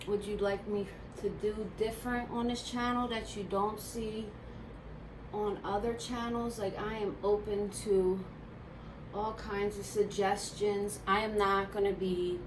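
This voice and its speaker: Amid noticeable background noise and audible room echo, a woman with a Philadelphia accent speaks at a fairly slow pace. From Philadelphia, US. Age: 30s. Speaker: beauty vlogger. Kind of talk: casual chat.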